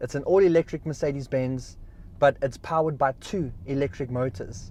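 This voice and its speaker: Somewhat breathy, a man talks at a fairly high pitch. His pace is fairly quick and his intonation lively. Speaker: car reviewer. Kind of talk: video review, talking while driving. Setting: inside a car.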